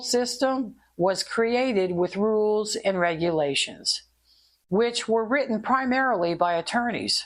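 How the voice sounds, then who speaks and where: A woman speaks in a plain, everyday voice at a fairly slow pace, her pitch fairly high and her intonation lively. Her loudness stays very even throughout. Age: 60s. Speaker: podcast host, former investigator. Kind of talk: podcast monologue. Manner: conversational.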